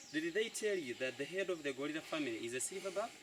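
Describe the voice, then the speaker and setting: Words pour out of the man very quickly, his intonation lively. Clear background noise sits under his voice. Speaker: local tour guide. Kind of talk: guided tour talk.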